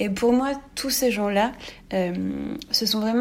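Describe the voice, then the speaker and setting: Very slow speech from a woman, medium in pitch, her intonation fairly even, noticeable noise behind her. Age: 20s. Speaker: architect, listener. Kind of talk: recorded listener message.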